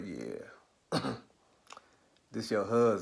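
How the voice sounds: Doing a put-on character voice, a man speaks in a raspy, fairly low register.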